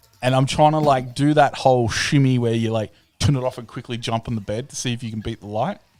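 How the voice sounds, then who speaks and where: A medium-pitched man with an Australian accent talks at a very fast pace, with big swings in loudness. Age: 30s. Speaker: live-stream host. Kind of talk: casual chat. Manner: animated.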